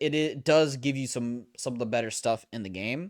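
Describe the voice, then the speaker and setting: The recording is very clean, with a silent background. A man speaks at a fairly quick pace. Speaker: video game streamer. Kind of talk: live gameplay commentary. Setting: home room, live stream. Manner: stumbles over words often; hesitant, many fillers.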